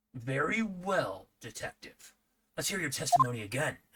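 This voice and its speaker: In a put-on character voice, a man speaks at a moderate pace with fairly high pitch and very wide pitch swings. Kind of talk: comic overacting. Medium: game stream.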